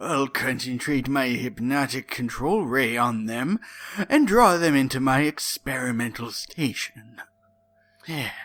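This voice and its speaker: A man doing a put-on character voice at medium pitch and a fairly slow pace, with music in the background. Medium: read story.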